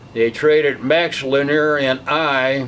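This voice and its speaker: A man with an American accent, fairly high in pitch, fairly even in intonation, over noticeable background noise. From US Midwest, St. Louis, Missouri. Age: 80s+. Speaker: retired baseball player. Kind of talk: interview, reminiscing.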